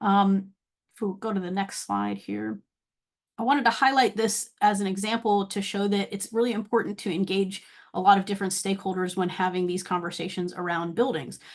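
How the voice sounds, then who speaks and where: A woman with an American accent talks at a fairly quick pace and medium pitch. Her intonation is fairly even, and the background is quiet. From US South, Atlanta. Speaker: university researcher. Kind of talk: webinar presentation. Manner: fast.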